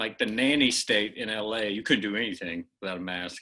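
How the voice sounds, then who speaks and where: A man's fairly low-pitched, bright, sharp voice with ordinary pitch variation, in a very clean recording with a silent background. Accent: American. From Oklahoma. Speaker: comedian. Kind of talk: casual chat.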